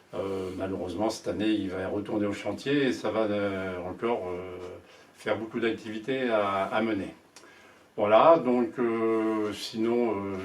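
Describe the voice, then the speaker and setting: A man at a fairly low pitch and fairly slow pace, with fairly even intonation, audible room echo and noticeable background noise. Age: 70s. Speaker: sailing association board candidate. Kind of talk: candidate self-presentation. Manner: halting, many hesitations.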